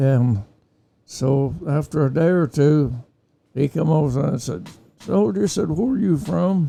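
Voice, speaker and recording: Over background music, a man with an American accent talks at a fairly slow pace with long, frequent pauses, his fairly high voice swinging very widely in pitch. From Oklahoma. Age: 80s+. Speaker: war veteran. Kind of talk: interview answer.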